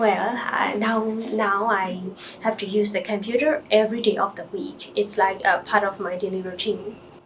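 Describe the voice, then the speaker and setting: A woman speaks at a moderate pace and a medium pitch. Her intonation is fairly even, and background noise is noticeable. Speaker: doctor taking a mock English exam. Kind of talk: mock exam interview answers. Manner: hesitant with fillers.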